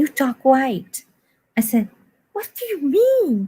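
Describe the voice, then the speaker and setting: A woman speaks with a dark, mellow tone. Her pace is very slow. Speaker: guest. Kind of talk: casual chat. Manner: halting.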